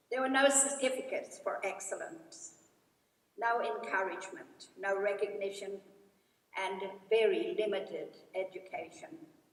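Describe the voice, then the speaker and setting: A woman speaks with long, frequent pauses amid audible room echo. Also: fairly high pitch for a woman, lively intonation, moderate pace. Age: 80s+. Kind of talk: graduation address. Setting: stage with audience. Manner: formal.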